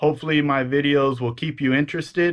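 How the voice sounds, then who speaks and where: A man in a Pacific Northwest accent talks fairly quickly at a fairly high pitch, his intonation fairly even. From Washington State, Pacific Northwest. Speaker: eBay reseller, Army veteran. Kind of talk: casual talk to camera.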